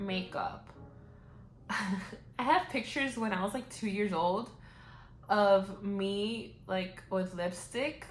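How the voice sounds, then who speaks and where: A very slow woman's voice at medium pitch, with a Spanish accent, audible room echo and music in the background. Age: 20s. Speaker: beauty vlogger. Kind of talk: casual chat. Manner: casual, many fillers.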